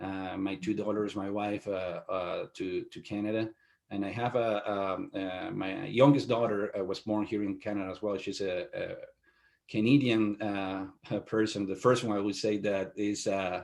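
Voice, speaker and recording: In a very clean recording with a silent background, a man with a Spanish accent speaks at a fairly low pitch, a moderate pace and fairly even intonation. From Venezuela. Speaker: IT company owner. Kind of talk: interview. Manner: halting, many fillers.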